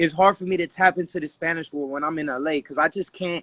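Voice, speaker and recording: Using a Dominican accent, a man speaks with a high pitch, a bright, sharp tone and ordinary pitch variation, in a dry, close sound with no echo. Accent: Dominican-tinged. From Dominican heritage, US. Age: 20s. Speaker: rapper. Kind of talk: casual interview.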